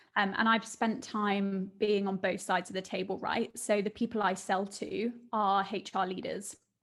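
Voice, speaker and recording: Speaking in a British accent with hardly any pauses, a woman of medium pitch holds a monotone, flat intonation. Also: moderate pace. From southern England, Surrey. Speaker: business founder. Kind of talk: interview.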